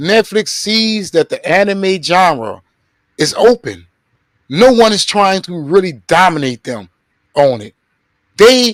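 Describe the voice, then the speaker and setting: The man's tone is animated, with very wide pitch swings at a fairly slow pace. The sound is dry and close, with no echo. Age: 40s. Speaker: live stream host. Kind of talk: casual live stream discussion.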